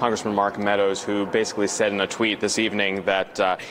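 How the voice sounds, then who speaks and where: A man with a fairly low pitch rushes along at a very fast pace while noticeable background noise plays. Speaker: TV news reporter. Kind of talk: live TV news hit, conversational.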